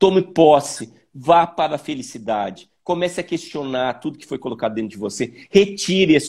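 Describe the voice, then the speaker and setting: A man speaks in an unremarkable speaking voice at a moderate pace. His intonation is lively. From Joinville, Santa Catarina, southern Brazil. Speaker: visual artist. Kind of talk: interview. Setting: video call.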